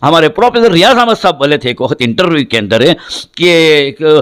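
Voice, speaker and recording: A man talks with a fairly high pitch. His pitch swings very widely. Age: 70s. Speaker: Islamic cleric and teacher. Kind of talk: interview.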